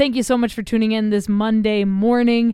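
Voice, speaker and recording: A woman with an ordinary speaking voice, an American accent, fairly high pitch, fairly even intonation and a moderate pace. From Oklahoma, US. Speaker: podcast host. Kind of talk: show intro and outro; casual interview chat. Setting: remote recording with poor Wi-Fi.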